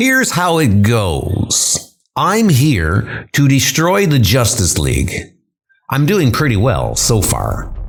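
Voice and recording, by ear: Speaking slowly in a put-on character voice, a man at medium pitch makes very wide pitch swings.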